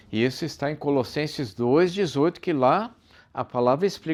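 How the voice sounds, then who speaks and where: A man speaks at a moderate pace, the background around him quiet. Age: 60s. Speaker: preacher. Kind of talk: sermon. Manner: animated.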